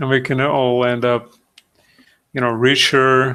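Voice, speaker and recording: A man's medium-pitched, bright, sharp voice at a very slow pace. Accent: non-native. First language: not English. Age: 30s. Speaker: digital sculptor, streamer. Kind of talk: live stream tutorial. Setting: live video stream. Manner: halting, many fillers.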